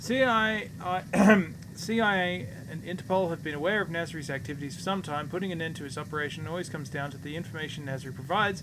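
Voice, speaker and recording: Audible room echo surrounds a man speaking at a fairly quick pace with fairly high pitch. His tone is bright and sharp, with ordinary pitch variation. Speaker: video game streamer. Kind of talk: gameplay livestream commentary with reading game text aloud. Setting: live stream. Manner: slurring; halting, frequent self-corrections.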